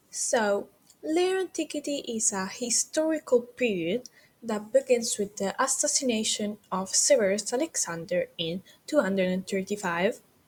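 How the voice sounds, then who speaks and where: A woman's high voice in a non-native accent, fairly slow, with very wide pitch swings. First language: not English. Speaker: history student. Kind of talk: educational history explainer.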